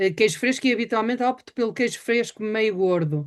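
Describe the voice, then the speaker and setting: Lively intonation runs through an unremarkable speaking voice. The background is quiet. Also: woman. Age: 60s. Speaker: webinar host. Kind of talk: interview.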